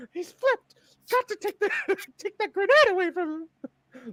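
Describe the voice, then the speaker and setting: Extremely high-pitched, put-on character voice. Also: moderate pace. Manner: urgent, alarmed.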